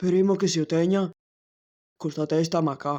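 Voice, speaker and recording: At a moderate pace, the speaker uses a put-on character voice pitched in the middle range. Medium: fan dub. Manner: calm, fatalistic.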